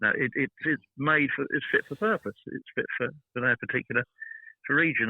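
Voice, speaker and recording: A man with a British accent is speaking. His pace is very fast. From Britain. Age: 70s. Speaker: garden designer. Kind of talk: interview. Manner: halting.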